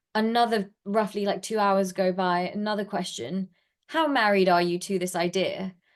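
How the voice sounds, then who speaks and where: Against a quiet background, a woman talks at a medium pitch with ordinary pitch variation. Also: moderate pace. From UK. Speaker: startup founder and CEO. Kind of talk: interview. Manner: casual, filler-heavy.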